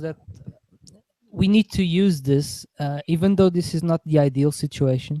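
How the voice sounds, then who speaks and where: With a Portuguese accent, a man speaks at a moderate pace in a fairly high, dark, mellow voice, his intonation fairly even but his loudness swinging widely, the sound dry and close with no echo. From Portugal. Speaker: political podcast host. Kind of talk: casual political chat.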